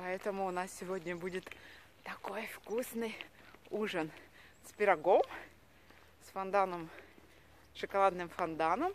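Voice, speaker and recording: A woman at a fairly slow pace, with fairly even intonation, long, frequent pauses, a dry sound with no echo and light background noise. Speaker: vlogger. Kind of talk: casual vlog chat. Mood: cheerful, chatty. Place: street. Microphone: phone near.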